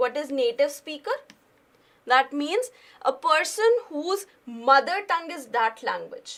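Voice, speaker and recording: A woman's high voice with an Indian accent, very wide pitch swings, a fairly slow pace and long, frequent pauses. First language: Hindi. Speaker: current affairs teacher. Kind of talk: lecture.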